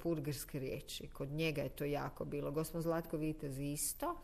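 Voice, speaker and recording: Moderate pace and fairly even intonation against a quiet background. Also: woman. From Zagreb, Croatia. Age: 50s. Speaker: actress and singer. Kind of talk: casual interview.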